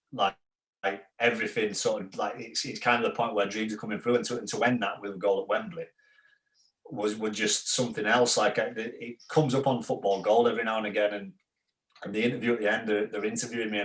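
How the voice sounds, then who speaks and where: The speaker has a Yorkshire accent and a fairly quick pace. The intonation stays fairly even. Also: man. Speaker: former professional footballer. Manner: monotone.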